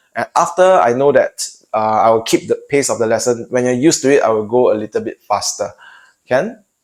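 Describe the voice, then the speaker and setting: With a Singaporean accent, a man talks at a fairly quick pace in a dry, close sound with no echo. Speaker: math tutor. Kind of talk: tutorial.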